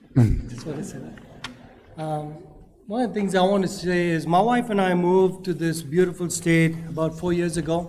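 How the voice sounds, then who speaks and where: A man with a non-native accent speaks at a moderate pace in a high voice with ordinary pitch variation, over noticeable background noise and audible room echo. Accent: foreign accent, noticeable. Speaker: public commenter at county meeting. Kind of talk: public comment speech.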